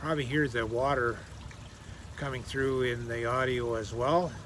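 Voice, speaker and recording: A man with a Canadian accent speaks at a fairly slow pace and medium pitch. His intonation is fairly even, and audible room echo surrounds the voice. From Canada. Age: 60s. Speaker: fitness vlogger. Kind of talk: casual vlog monologue. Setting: outdoors in a garden swing. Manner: halting, with fillers and restarts.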